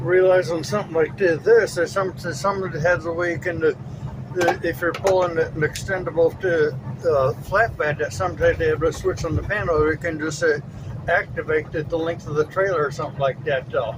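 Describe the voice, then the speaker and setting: A man's fairly high-pitched voice at a fairly quick pace, with ordinary pitch variation and noticeable background noise. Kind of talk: casual talk in a truck cab. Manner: stutters.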